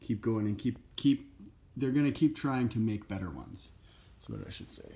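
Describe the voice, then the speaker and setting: In a very clean recording with a silent background, a man speaks at medium pitch and a moderate pace. His voice is dark, mellow and somewhat breathy, with ordinary pitch variation. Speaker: wrestling belt collector and reviewer. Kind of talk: casual product review to camera. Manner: hesitant, many filler words.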